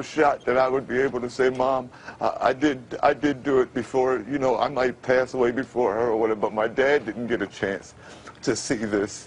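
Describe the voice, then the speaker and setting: Over noticeable background noise, a man with an American accent speaks at a moderate pace with fairly even intonation. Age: 50s. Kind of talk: TV interview answer. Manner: halting, repetitive.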